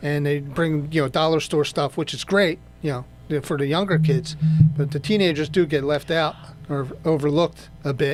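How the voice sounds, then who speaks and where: A man with an American accent and a normal speaking voice, fairly high in pitch, fairly even in intonation, at a moderate pace. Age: 60s. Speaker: radio co-host, garage owner. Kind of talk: casual radio chat.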